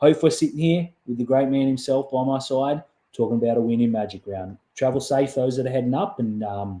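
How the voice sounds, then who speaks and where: Relaxed in tone, a man with a medium-pitched voice and ordinary pitch variation talks at a fairly quick pace on a very clean recording with a silent background. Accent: Australian. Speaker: podcast host. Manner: casual, relaxed.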